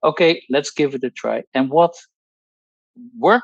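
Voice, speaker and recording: A man speaks with a Dutch accent. The sound is dry and close, with no echo. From Netherlands. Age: 60s. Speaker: pharmacologist. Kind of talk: testimony. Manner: halting.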